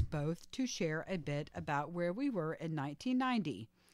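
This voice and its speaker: A woman speaks at a moderate pace with lively intonation. Her pitch is fairly low, and it is a plain, everyday voice. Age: 40s. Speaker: podcast co-host. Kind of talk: casual chat.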